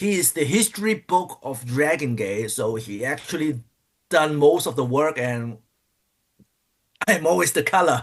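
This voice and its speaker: A man's fairly high voice with very wide pitch swings, a non-native accent, and long, frequent pauses. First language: not English. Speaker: pro wrestler. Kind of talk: interview. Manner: halting.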